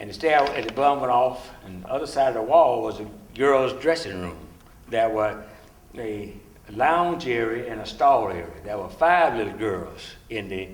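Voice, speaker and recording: A medium-pitched man speaks at a moderate pace with lively intonation and big swings in loudness. Audible room echo and noticeable background noise surround him. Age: 70s. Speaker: civil rights veteran. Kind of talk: testimony.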